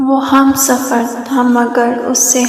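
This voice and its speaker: Noticeable background noise fills the clip. The speaking is monotone and flat in intonation. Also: woman. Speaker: poetry reciter. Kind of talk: poetry reading.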